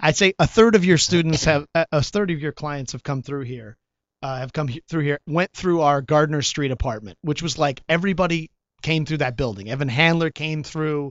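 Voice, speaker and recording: A man with an American accent has an unremarkable speaking voice at a fairly high pitch. He speaks at a moderate pace, with ordinary pitch variation. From Chicago. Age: 50s. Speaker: actor. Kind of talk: casual chat.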